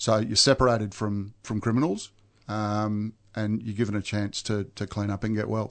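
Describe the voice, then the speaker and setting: A man with an Australian accent speaks at a moderate pace and a fairly low pitch. His intonation is flat and monotone. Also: quiet background. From Melbourne, Australia. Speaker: recovering alcoholic. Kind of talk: testimony. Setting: studio. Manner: halting.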